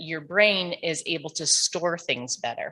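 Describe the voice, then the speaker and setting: A woman with a fairly low pitch and a bright, sharp tone speaks at a fairly slow pace with lively intonation, in a very clean recording with a silent background. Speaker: audiologist. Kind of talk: panel talk. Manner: halting.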